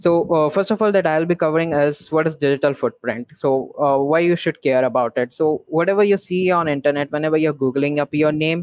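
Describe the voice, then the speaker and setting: At a fairly quick pace with hardly any pauses, a man speaks with ordinary pitch variation and very even loudness, the sound dry with no echo and the background quiet. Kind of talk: online summit talk. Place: home room.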